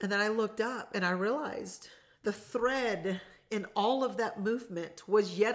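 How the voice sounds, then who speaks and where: A woman's animated voice at a medium pitch, with ordinary pitch variation. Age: 40s. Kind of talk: solo motivational talk, live-streamed. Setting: lake house, live stream recording.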